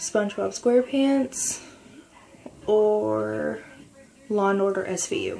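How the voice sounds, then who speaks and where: A quiet woman at a very slow pace, with long, frequent pauses and noticeable background noise. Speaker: video blogger. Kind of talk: casual chat. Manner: quiet, speaking lightly.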